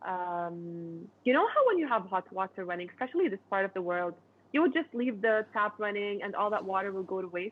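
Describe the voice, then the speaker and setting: A woman's plain, everyday voice, medium in pitch, at a fairly quick pace with ordinary pitch variation. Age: 20s. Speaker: inventor. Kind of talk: interview. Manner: casual, conversational.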